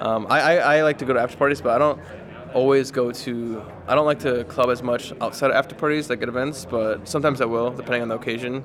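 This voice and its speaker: Amid noticeable background noise, a man at a medium pitch talks very fast with fairly even intonation. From United States. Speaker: esports player. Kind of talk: interview. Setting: tournament venue. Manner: casual, filler-heavy.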